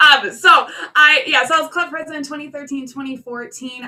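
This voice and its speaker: There is noticeable background noise behind this woman. She has an American accent and ordinary pitch variation. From North Dakota, US. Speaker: academic advisor, new club member. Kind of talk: self-introduction at virtual club meeting.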